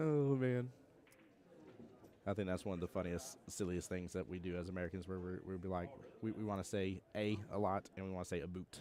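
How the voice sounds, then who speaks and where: This man has a very deep, low voice with a dark, mellow tone. He talks at a fairly quick pace with ordinary pitch variation. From US South. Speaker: pool tournament commentator. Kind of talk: live commentary. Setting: live stream at tournament venue. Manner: animated.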